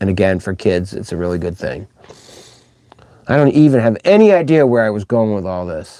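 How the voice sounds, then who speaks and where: With a dark, mellow tone and a fairly low pitch, a man speaks at a fairly quick pace and with lively intonation, broken by long, frequent pauses. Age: 60s. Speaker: children's musician and livestream host. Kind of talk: casual livestream chat. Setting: live stream. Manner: rambling, informal.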